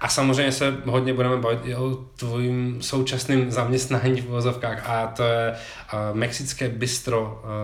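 A man speaks in a monotone, flat intonation with audible room echo. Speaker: podcast host. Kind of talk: casual chat. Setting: rented apartment.

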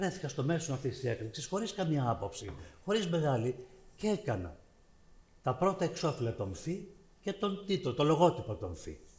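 A man's fairly high voice with vocal fry and very wide pitch swings. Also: moderate pace. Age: 70s. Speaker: visual artist, panelist. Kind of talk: public panel discussion.

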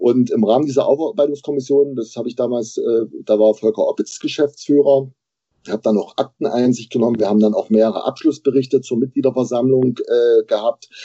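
Fairly even in intonation, a man of medium pitch talks at a fairly quick pace in an unremarkable speaking voice. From Saxony, Bautzen. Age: 50s. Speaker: football club board member. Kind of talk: podcast interview.

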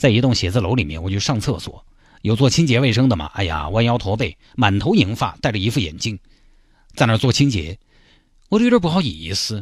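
A man with a fairly low, somewhat breathy voice speaks at a fairly quick pace. The recording is very clean with a silent background. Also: lively intonation. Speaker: radio host. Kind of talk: casual radio commentary. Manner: animated.

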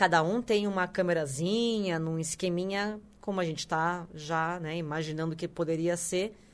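A woman with an unremarkable speaking voice talks at a moderate pace with hardly any pauses, medium pitch, and ordinary pitch variation. The recording is very clean with a silent background. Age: 40s. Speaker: podcast co-host. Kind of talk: casual chat.

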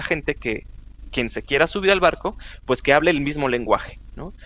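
Fairly high pitch, ordinary pitch variation and a moderate pace from a man with a plain, everyday voice. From northern Mexico, Chihuahua. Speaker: chemist and road safety advocate. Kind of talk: casual interview.

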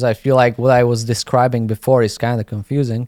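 With a Slovak accent, a man talks at a moderate pace in a medium pitch with fairly even intonation, the sound dry and close with no echo on a very clean recording with a silent background. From Slovakia. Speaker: graffiti artist and YouTuber. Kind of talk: casual interview chat. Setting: studio podcast in New York. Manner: halting, many fillers.

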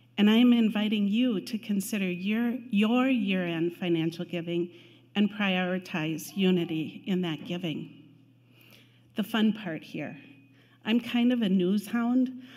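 A woman speaks with a somewhat breathy voice and ordinary pitch variation. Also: medium pitch for a woman, fairly slow pace. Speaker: church finance committee chair. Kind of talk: church announcement. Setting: church.

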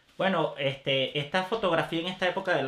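A man with a Venezuelan accent. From Caracas, Venezuela. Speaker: photographer, father and business owner. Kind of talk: casual interview. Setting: studio.

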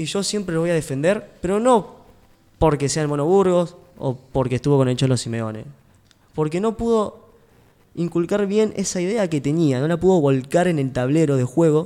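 Dark and mellow in tone yet high in pitch, a man's voice moves with lively intonation at a moderate pace. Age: 20s. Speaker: radio sports show host. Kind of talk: casual sports radio panel.

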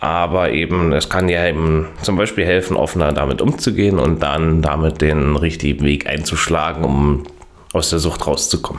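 A man's very deep, low voice at a moderate pace and very even loudness, with audible room echo and noticeable background noise. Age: 30s. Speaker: podcast host. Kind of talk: casual chat.

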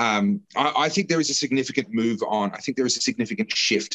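Talking at a very fast pace with an Australian accent, a man shows ordinary pitch variation in a dry, close sound with no echo. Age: 40s. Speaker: political commentator and candidate. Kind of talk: casual chat.

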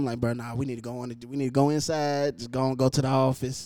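A man's medium-pitched voice at a fairly quick pace, dark and mellow yet clear and smooth in tone.

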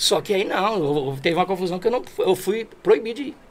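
The man's fairly quick delivery comes with noticeable background noise. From Brazil, Alto Tietê region of São Paulo state. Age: 40s. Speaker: amateur football sports announcer and field reporter. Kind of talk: casual interview.

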